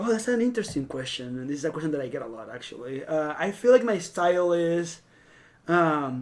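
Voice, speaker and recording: Speaking with a Venezuelan accent, a man lets his pitch swing very widely and his loudness shift in big swings. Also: fairly high pitch for a man, fairly quick pace. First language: Spanish. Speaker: fashion stylist. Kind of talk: casual podcast interview.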